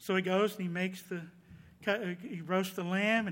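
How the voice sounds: The text is read aloud. A natural reading voice delivers it.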